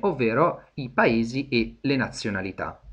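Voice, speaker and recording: The voice is somewhat breathy. It belongs to a man and sits at a medium pitch. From Italy. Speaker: English teacher. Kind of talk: lecture. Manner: hesitant, many fillers.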